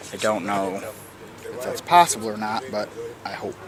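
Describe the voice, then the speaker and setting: Noticeable background noise around a man with an American accent. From United States. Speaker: travel vlogger. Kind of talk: travel vlog narration. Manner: casual, swearing-laden.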